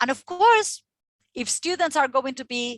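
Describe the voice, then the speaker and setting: A loud voice at a moderate pace, with very wide swings in pitch. The sound is dry and close, with no echo. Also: woman. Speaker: teacher trainer. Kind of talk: workshop presentation. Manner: loud, passionate.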